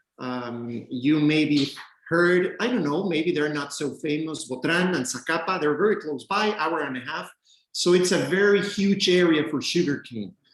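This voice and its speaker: Taking a fairly slow pace, a man speaks with a Mexican accent. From Mexico, Chiapas. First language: Spanish. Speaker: rum distillery representative. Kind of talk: virtual tasting presentation.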